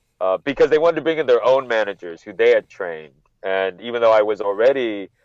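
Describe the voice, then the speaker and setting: Speaking at a fairly quick pace, a man talks with a Californian accent. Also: dry, close sound with no echo. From California (Monterey, NorCal). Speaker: wrestling journalist, podcast guest. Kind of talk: casual interview chat. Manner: halting, with frequent repetitions.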